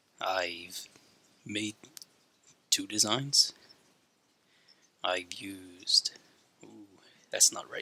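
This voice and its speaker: A man speaks quietly at a very slow pace, with long, frequent pauses and big swings in loudness. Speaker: drawing youtuber. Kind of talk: casual tutorial commentary. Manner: holding voice back, quiet.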